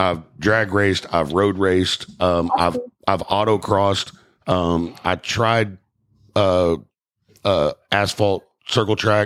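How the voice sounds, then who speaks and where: A man with an American accent and a very deep, low pitch at a very slow pace, with fairly even intonation and long, frequent pauses, in a very clean recording with a silent background. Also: very even loudness. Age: 40s. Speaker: podcast host. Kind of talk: casual chat.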